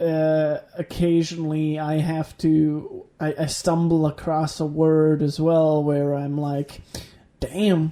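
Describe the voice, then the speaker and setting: A man speaks very slowly in a dark, mellow tone, his fairly high pitch held in a monotone, flat intonation. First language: Danish. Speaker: podcast co-host. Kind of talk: casual chat. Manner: halting.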